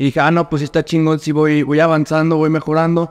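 This man has a fairly high pitch. He talks at a fairly quick pace. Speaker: nutritionist and fitness coach; fitness coach. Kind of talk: casual chat. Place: home room.

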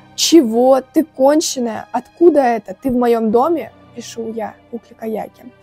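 Faint music plays behind a woman speaking, with dry sound and no echo. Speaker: vlogger. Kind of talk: casual vlog storytelling. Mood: tense mystery story. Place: home room. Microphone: lapel.

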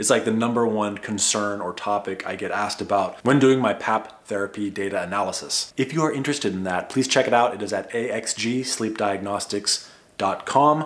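Hardly pausing, a man talks at a moderate pace with ordinary pitch variation. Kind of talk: educational vlog talk. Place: home room.

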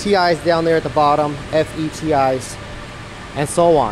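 A man speaks at a fairly high pitch, with clear background noise behind him.

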